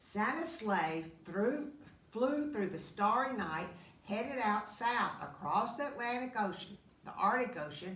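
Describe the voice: Lively intonation runs through the speech. It is plain reading aloud.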